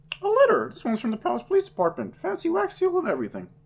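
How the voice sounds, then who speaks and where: A man rattles off lines very fast in a put-on character voice. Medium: actual play. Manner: brisk, cheeky.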